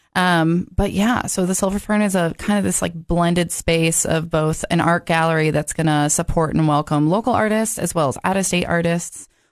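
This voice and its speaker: A woman with an American accent speaks in a normal speaking voice, fairly low in pitch, at a moderate pace with ordinary pitch variation. Her loudness stays very even against a quiet background. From Massachusetts. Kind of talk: casual interview.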